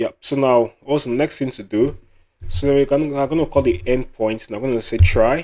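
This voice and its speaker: His pitch rises and falls in an ordinary way. This man's voice sits at a medium pitch. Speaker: programming tutorial creator. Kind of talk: coding tutorial. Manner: fast; repetitive, self-correcting.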